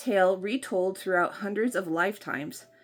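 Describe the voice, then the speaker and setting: A woman speaks with music in the background. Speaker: book vlogger. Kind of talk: casual talk to camera, unboxing video.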